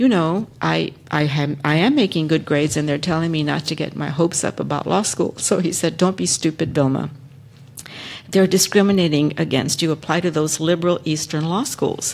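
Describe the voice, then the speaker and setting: Words come at a moderate pace. They are spoken in a Spanish accent. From Texas. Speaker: lawyer, panelist. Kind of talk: panel discussion, personal story. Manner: hesitant, many fillers.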